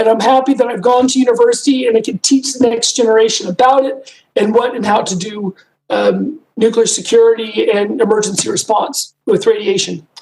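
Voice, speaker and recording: In a normal speaking voice, a woman talks at a fairly quick pace with fairly high pitch and ordinary pitch variation. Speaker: professor. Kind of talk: lecture. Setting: video call.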